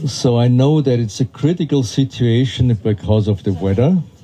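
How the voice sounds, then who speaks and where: A man talks at a fairly slow pace in a German accent. His intonation is lively. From Austria. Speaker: festival director. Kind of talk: welcome speech to audience. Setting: outdoors in rain.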